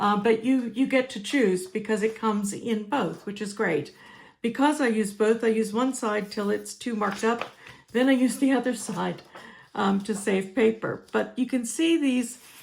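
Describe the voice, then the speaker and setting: Fairly high-pitched and somewhat breathy, a woman speaks at a moderate pace with ordinary pitch variation. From United States. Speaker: crafting demonstrator. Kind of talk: tutorial. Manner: casual, with fillers.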